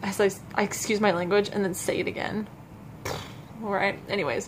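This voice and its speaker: Medium-pitched female speech against noticeable background noise. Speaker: vlogger. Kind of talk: casual chat. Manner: halting, stuttering.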